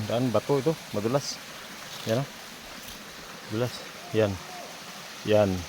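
A man talks fairly slowly, leaving long, frequent pauses, while noticeable background noise carries on behind him. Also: medium pitch for a man, ordinary pitch variation. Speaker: farmer vlogger. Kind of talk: casual vlog narration. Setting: outdoors on farm.

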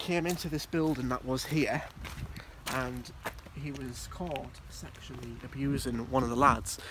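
A man talks at a moderate pace with fairly even intonation. The sound is dry with no echo, and there is noticeable background noise. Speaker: urban explorer vlogger. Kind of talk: casual vlog narration. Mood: serious, somber. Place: open country. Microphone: phone near.

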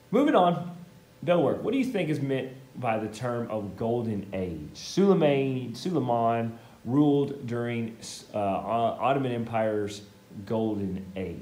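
A man talks at a fairly slow pace with lively intonation. Audible room echo is present. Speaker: teacher. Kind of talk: lecture. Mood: playful, joking. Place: classroom. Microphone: camera far.

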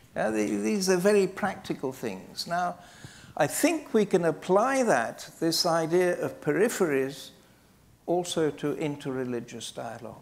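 A man with a British accent, high in pitch, at a fairly slow pace with very wide pitch swings. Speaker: archbishop. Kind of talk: panel discussion. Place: hall. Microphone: lapel.

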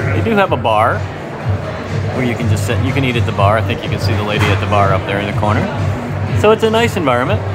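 Over clear music in the background, a man talks. His pace is very fast. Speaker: food vlogger. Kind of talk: casual vlog chat. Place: cafe. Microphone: phone near.

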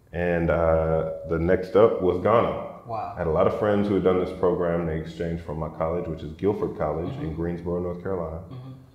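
A man talks at a fairly quick pace with a very deep, low pitch and ordinary pitch variation. Room echo is audible. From US South, Atlanta, Georgia. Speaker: journalist and documentary filmmaker; journalist. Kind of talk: casual interview. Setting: co-working space. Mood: calm, reflective. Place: office. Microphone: lapel.

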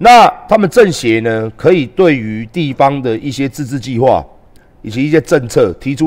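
Over a quiet background, a man talks at a medium pitch with lively intonation. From Taiwan. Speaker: live streamer and political commentator; live streamer, political commentator. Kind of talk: livestream rant. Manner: animated. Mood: indignant, combative. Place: home room. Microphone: headset.

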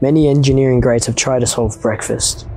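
A man speaks with fairly even intonation in a dry recording with no echo, with faint music playing in the background. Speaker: maker video host. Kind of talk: comedic narration. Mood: playful, deadpan humor. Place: home room. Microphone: lapel.

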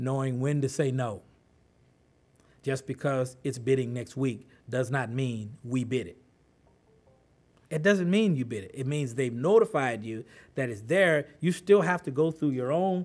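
Lively intonation marks this man's speech, which has long, frequent pauses. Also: fairly slow pace. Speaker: presenter. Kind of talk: talk to an audience. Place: meeting room. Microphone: podium.

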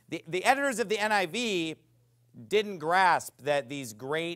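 The speaker talks at a fairly slow pace with an American accent and lively intonation. The background is quiet. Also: man. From United States. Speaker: pastor. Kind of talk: sermon. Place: church.

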